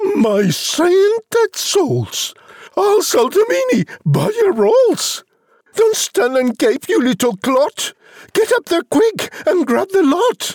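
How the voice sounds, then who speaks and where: A man puts on a character voice at an extremely high pitch. He speaks at a very slow pace with very wide pitch swings. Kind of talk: comic overacting. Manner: shrill, scolding.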